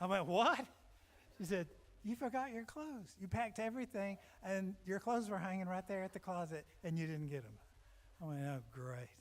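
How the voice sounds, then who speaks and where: A high-pitched man talks at a fairly quick pace with lively intonation. Long, frequent pauses break his speech, and noticeable background noise is present. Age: 70s. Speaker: singer-songwriter. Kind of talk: storytelling between songs. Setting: stage with audience.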